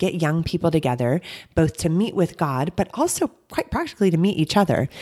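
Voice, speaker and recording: A woman with an American accent speaks at a fairly quick pace in a fairly low pitch, with lively intonation. The sound is dry and close, with no echo. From America, then England. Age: 30s. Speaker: preacher. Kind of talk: casual interview chat.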